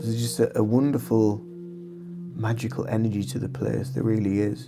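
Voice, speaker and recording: With music in the background and audible room echo, a man talks at a fairly quick pace and a medium pitch. His intonation is lively and his tone relaxed. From northern England, County Durham. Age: 40s. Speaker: artist and reiki content creator. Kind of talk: casual livestream chat. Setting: live stream while painting. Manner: relaxed, with fillers and repetitions.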